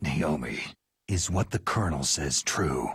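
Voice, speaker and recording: Growling in a put-on character voice, a man speaks at a moderate pace. His pitch is very deep and low. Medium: short film. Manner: terse, clipped.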